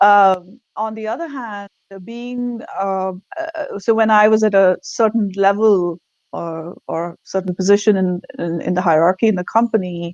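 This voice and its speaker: A woman speaks at a fairly slow pace with a non-native accent, her pitch medium and its variation ordinary. The sound is dry and close, with no echo. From India. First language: not English. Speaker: leadership consultant. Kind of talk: interview. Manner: halting.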